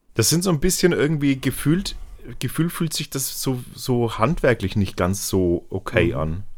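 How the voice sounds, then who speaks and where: A man's medium-pitched voice at a fairly slow pace, with very wide pitch swings. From Franconia, Germany. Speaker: beer YouTuber. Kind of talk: casual chat.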